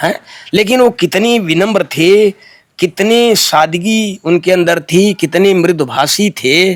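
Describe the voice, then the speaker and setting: Very even loudness and ordinary pitch variation in a dry, close sound with no echo. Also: man, high pitch for a man. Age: 70s. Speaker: folk singer and poet. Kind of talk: interview.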